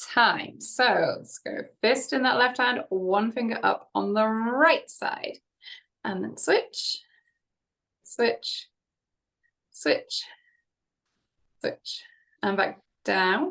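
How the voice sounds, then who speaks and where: Against a quiet background, a woman speaks very slowly with long, frequent pauses. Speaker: fitness instructor. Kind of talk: exercise class instruction. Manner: casual, chatty. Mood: friendly, light-hearted. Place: home room. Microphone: webcam.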